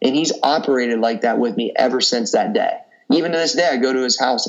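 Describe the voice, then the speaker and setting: A man speaks at a fairly quick pace. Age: 30s. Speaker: fitness coach and entrepreneur. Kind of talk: casual interview chat. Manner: animated.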